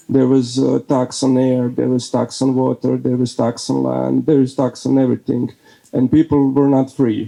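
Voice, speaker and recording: A man with a Croatian accent, at a moderate pace and very even loudness. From Bosnia and Herzegovina (Herzegovina, Croatian). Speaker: speaker at a faith event, leader of a men's prayer group. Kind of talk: talk to an audience. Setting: speaking before an audience. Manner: halting, many fillers.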